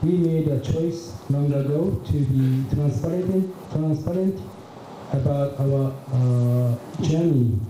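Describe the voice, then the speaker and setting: Very slow speech with very even loudness and ordinary pitch variation, set against noticeable background noise and audible room echo. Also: man, fairly high pitch for a man. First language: Japanese. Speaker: business executive. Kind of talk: keynote presentation. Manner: halting, many fillers.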